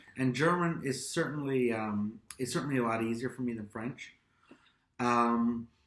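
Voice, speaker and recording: Speaking at a moderate pace, a man has an unremarkable speaking voice. His medium pitch shows ordinary variation. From Austria (American-born, raised in Europe). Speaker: YouTube vlogger. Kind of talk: casual chat.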